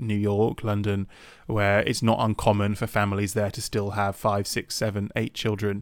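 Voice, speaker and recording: The speaker, with a British accent, comes through on a very clean recording with a silent background. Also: man. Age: 30s. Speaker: podcast co-host. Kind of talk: casual chat.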